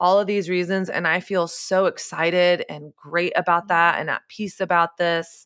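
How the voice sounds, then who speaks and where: A woman's bright, sharp voice with an American accent at a moderate pace, dry and close with no echo, on a very clean recording with a silent background. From Texas. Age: 30s. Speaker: author and podcaster. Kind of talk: podcast interview.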